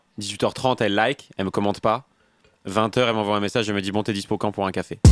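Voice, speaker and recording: A man speaks at a very fast pace and fairly low pitch in a flat monotone. The sound is dry and close with no echo, with music behind him. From Burgundy, raised near Arcachon, France. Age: 20s. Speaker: stand-up comedian. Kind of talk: interview answer. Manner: casual.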